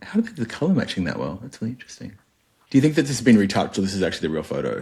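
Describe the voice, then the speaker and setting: The speaker has an Australian accent. Pitch swings very widely. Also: man. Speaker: cruise line marketing executive. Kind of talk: casual interview chat. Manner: animated.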